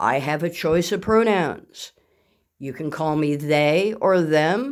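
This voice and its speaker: Fairly slow speech in a very clean recording, silent background. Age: 50s. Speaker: LEGO hobby YouTuber. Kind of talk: casual vlog. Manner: sounds younger than age.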